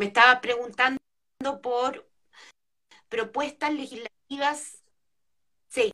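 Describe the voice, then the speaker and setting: A woman talks very slowly, with long, frequent pauses and a bright, sharp tone. Her pitch is high and her intonation fairly even. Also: dry, close sound with no echo. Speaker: political candidate and lawyer. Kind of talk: interview.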